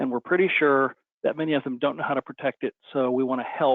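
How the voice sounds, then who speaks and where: This man talks at a fairly quick pace. His voice sits fairly high and his intonation stays fairly even. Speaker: company CEO presenting webinar. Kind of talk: webinar presentation. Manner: fast.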